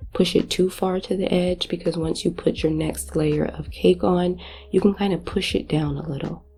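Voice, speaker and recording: Music plays behind a woman speaking at a moderate pace. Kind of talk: cooking tutorial casual talk to camera.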